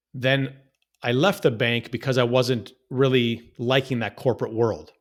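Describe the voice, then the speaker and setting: In a Canadian accent, a man with a plain, everyday voice speaks at a fairly slow pace and medium pitch, with ordinary pitch variation. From Canada, Toronto. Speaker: real estate investor. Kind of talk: interview storytelling. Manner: repetitive false starts.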